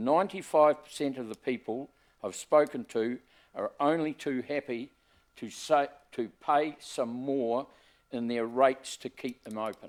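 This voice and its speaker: On a very clean recording with a silent background, a man talks with a New Zealand accent. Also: medium pitch for a man, ordinary pitch variation, fairly slow pace. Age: 70s. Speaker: member of the public making a submission. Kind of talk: public submission to council hearing. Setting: council chamber hearing.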